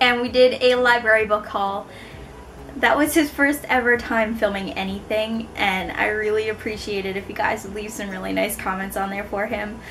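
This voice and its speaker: Light background noise sits under a woman's voice. She speaks at a moderate pace with fairly even intonation. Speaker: book vlogger. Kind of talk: casual vlog chat. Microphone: camera far.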